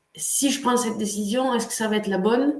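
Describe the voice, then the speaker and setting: A woman with a non-native accent, somewhat breathy, at a moderate pace with ordinary pitch variation and audible room echo. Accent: foreign-sounding French accent, noticeable. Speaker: coach and online workshop host. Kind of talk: live webinar hosting. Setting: livestream. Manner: hesitant, many filler sounds.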